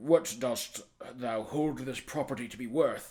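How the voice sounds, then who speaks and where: Using a raspy, put-on character voice, a man speaks at a medium pitch with ordinary pitch variation. His pace is fairly slow. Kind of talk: archaic courtroom speech. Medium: read story. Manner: measured, grave.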